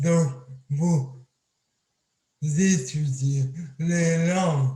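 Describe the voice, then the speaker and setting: A man at a very slow pace, fairly high in pitch with fairly even intonation, somewhat breathy and dark, mellow in tone, with audible room echo. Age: 20s. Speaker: accident survivor speaker. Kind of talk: testimony talk. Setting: video call. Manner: speech hard to understand.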